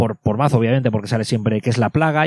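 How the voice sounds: At a very fast pace, the speaker holds a fairly even intonation in a dry, close sound with no echo. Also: man.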